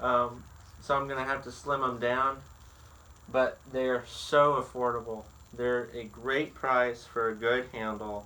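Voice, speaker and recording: The speaker has a Southern US accent and a bright, sharp tone. Delivery is fairly slow, with monotone, flat intonation. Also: man, medium pitch for a man. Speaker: woodworker. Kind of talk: tutorial. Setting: workshop. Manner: halting.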